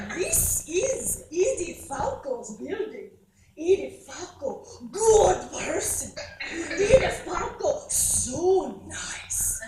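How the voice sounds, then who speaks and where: Someone doing a put-on character voice talks at a very slow pace, with very wide pitch swings, big swings in loudness and a slight echo. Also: woman, extremely high pitch for a woman. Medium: stage play. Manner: short, simple phrases.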